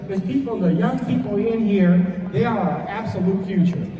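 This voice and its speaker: A man talks at a moderate pace with a high pitch and ordinary pitch variation. Noticeable background noise and audible room echo are present. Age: 60s. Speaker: retired police commander giving a talk to students. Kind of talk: motivational talk to an audience. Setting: room with live audience of young people. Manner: conversational, repeats words.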